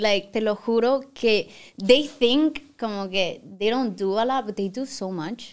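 With a Spanish accent, a woman talks in a fairly high voice with ordinary pitch variation. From Cuba. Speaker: singer-songwriter and DJ. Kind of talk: casual interview chat, Spanglish. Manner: code-switching English and Spanish.

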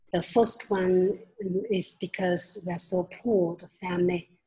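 A woman's somewhat breathy, mid-pitched voice with a Chinese accent, fairly slow and monotone. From China, rural village. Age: 30s. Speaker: leadership consultant and entrepreneur. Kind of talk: interview. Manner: halting.

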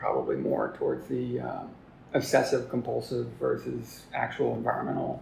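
A man talks at a moderate pace in an American accent. Audible room echo surrounds his voice. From New Jersey. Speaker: small business owner, waste hauler. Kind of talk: interview conversation. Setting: room in a brewery.

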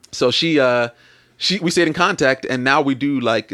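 A man with a Philadelphia accent speaks at a fairly quick pace. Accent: US East Coast (Philadelphia area). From Camden, New Jersey (US), Nigerian parents. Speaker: musician and dancer. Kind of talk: casual interview.

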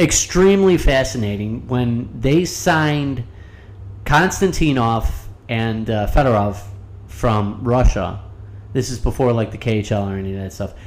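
A man with an ordinary speaking voice speaks at a fairly slow pace, using lively intonation and big swings in loudness. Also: medium pitch for a man. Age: 30s. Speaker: podcast host. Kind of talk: casual chat. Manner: casual, profane.

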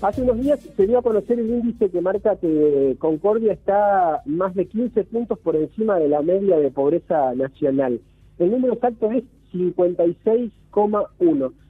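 A man talks at a fairly slow pace. His pitch is high and his intonation lively. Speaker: cultural critic columnist. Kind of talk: radio commentary. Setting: phone call.

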